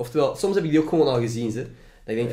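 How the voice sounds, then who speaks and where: In a Flemish accent, a man talks at a very fast pace. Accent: Flemish Dutch. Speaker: podcast host and student. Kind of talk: casual chat. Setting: home recording in student room.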